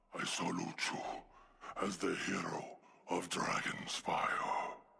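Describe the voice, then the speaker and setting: In a put-on character voice, a man growls in a solemn tone at a fairly slow pace while music plays behind him. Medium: video game. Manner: solemn, formal.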